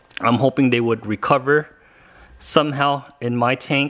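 The background is quiet while a man speaks at a fairly slow pace. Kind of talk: casual vlog chat. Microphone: phone near.

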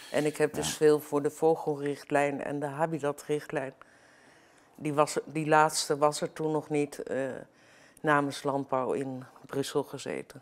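Her pitch very deep and low, a woman speaks at a fairly slow pace with monotone, flat intonation. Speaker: commentator on fisheries and law. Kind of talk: political interview talk. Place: studio.

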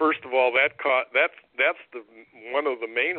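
The speaker talks with an American accent and ordinary pitch variation. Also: man. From US Midwest, Cleveland area, Ohio. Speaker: political candidate. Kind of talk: interview. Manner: halting.

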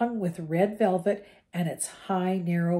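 The words come as plain reading aloud. Intonation stays fairly even.

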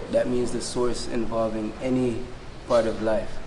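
A man speaks in a Jamaican accent at a moderate pace, his intonation flat and monotone. Noticeable background noise runs underneath. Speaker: chanter, reggae-style musician. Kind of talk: interview answer. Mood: calm, confident, preaching tone.

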